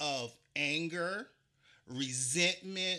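On a very clean recording with a silent background, a high-pitched man speaks in a bright, sharp tone with a South Carolina accent. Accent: Southern US (South Carolina). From US South, Charleston, South Carolina. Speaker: podcast host. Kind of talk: casual interview chat.

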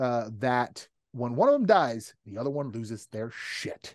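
Against a quiet background, a man speaks in an animated tone at a fairly slow pace with ordinary pitch variation, recorded dry and close with no echo. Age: 30s. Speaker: podcast host. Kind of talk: casual chat.

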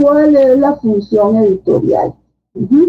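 A woman speaks in a Costa Rican accent at a high pitch. Her pace is very slow. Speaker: book editor and publisher. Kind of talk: casual interview. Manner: hesitant, many fillers.

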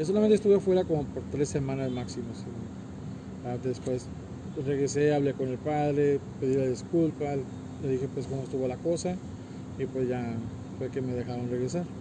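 A medium-pitched man at a fairly quick pace, with long, frequent pauses, ordinary pitch variation and noticeable background noise. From US (raised there from age 3). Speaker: cook at migrant shelter, deportee. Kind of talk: interview.

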